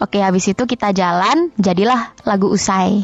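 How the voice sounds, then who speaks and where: A woman's shrill voice, with ordinary pitch variation, comes through with a dry, close sound with no echo, over noticeable background noise. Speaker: singer. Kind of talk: interview.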